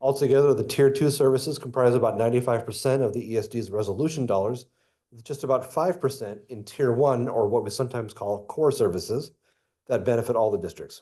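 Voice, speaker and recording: Over a quiet background, a man speaks at a very fast pace and medium pitch, his dark, mellow, somewhat breathy voice showing ordinary pitch variation and big swings in loudness. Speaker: school district superintendent. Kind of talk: reading a prepared statement at a public meeting. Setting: school board meeting.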